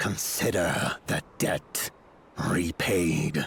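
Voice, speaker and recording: A man does a put-on, growling character voice at very deep, low pitch over clear background noise. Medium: video game. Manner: blunt, stern.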